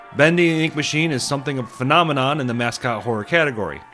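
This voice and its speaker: There is music in the background. Over it, a man speaks at a very fast pace. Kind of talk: video essay narration. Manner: casual, opinionated.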